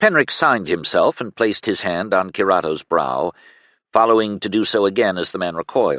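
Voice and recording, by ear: Against a quiet background, someone reads aloud in a natural voice whose pitch shifts in an ordinary way.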